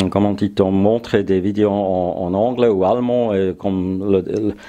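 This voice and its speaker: The voice is dark and mellow, with a German accent, and moves at a very slow pace. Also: man. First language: German (speaking French). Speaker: woodworking YouTuber. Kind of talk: casual vlog address. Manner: halting, frequent hesitations.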